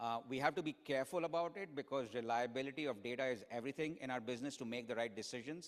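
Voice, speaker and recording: At a very fast pace, a man talks in a medium pitch. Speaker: keynote speaker, finance executive. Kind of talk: conference keynote with audience Q&A. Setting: stage with audience.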